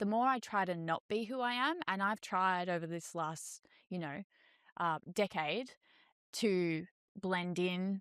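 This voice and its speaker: At a medium pitch and fairly slow pace, a woman speaks with ordinary pitch variation and long, frequent pauses, in a very clean recording with a silent background and a dry, close sound with no echo. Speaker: salon owner and hairdresser. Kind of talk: interview. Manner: loud.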